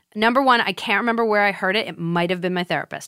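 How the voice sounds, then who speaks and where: This woman has an ordinary speaking voice at medium pitch, with ordinary pitch variation. The sound is dry and close with no echo, and the recording is very clean over a silent background. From Massachusetts, US. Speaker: comedian and podcast host. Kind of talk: casual interview chat.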